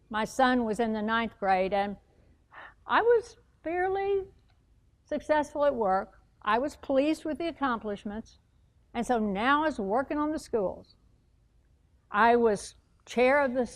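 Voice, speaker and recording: In a Texas accent, the speaker talks at a fairly slow pace with lively intonation and long, frequent pauses. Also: woman. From US, moved coast-to-coast. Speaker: motivational speaker. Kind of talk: public speech.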